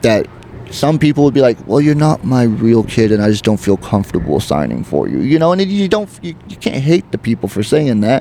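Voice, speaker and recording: Over noticeable background noise, a man with an American accent speaks at a medium pitch in very wide pitch swings. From Oregon, McMinnville. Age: 30s. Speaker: comedian. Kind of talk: casual interview chat. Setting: oyster bar. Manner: animated.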